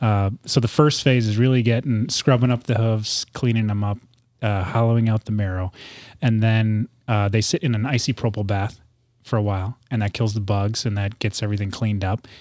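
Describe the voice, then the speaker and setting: In a very clean recording with a silent background and a dry, close sound with no echo, a man with a plain, everyday voice and a fairly low pitch talks at a fairly quick pace with fairly even intonation. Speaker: former FBI agent and small business owner. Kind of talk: casual chat. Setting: studio.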